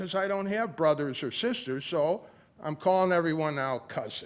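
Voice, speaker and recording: On a very clean recording with a silent background, a man speaks in a high pitch. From US Midwest, south side of Chicago. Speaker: poet and church guest speaker. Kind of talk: casual talk to congregation. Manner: halting, many fillers.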